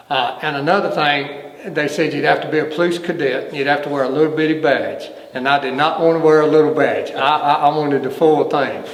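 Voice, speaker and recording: With a Southern US accent, a man speaks at a fairly high pitch in a flat monotone, with audible room echo and noticeable background noise. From North Carolina, Brown Summit near Greensboro. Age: 60s. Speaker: retired fire battalion chief. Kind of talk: oral history interview. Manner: halting, with repetitions.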